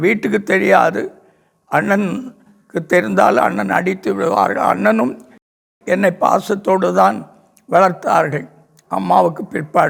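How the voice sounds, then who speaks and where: A fairly high man's voice with vocal fry and very wide pitch swings. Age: 80s+. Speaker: pastor. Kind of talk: religious testimony.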